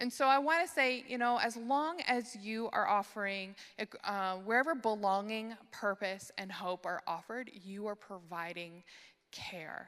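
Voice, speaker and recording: A woman speaks in a normal speaking voice with a Canadian accent, her pitch fairly high. Her pace is fairly slow and her intonation lively. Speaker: conference speaker on church care ministry. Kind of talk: conference talk.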